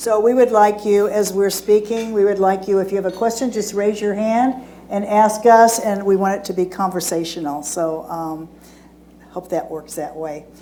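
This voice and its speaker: A woman's voice at a medium pitch, with ordinary pitch variation and a moderate pace. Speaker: hospice association executive director, panelist. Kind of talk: seminar panel presentation. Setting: seminar room with live audience. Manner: loud.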